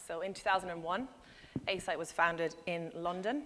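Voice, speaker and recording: A woman with an Irish accent at a fairly quick pace. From Ireland. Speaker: business development director, conference speaker. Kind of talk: conference presentation.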